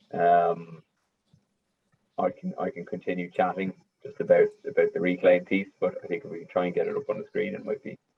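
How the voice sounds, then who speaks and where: With an Irish accent, a man speaks at a moderate pace. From Ireland. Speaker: business development head. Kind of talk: business presentation.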